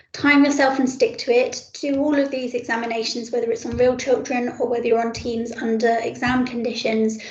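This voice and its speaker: Over noticeable background noise and audible room echo, a woman speaks at a fairly quick pace with hardly any pauses, her high-pitched voice monotone and flat. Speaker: paediatric trainee doctor teaching exam preparation. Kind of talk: online teaching session. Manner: many ums and ers.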